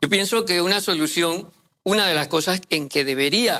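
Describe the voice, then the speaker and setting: This man has a high-pitched voice with a bright, sharp tone. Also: very clean recording, silent background. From Panama, Chiriquí. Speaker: mining sector commentator. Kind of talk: panel discussion. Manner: halting, many fillers.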